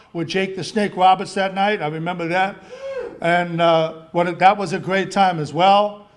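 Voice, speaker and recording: A man with a high voice speaks at a fairly quick pace and fairly even intonation amid noticeable background noise. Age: 60s. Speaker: wrestling referee and pastor. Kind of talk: acceptance speech.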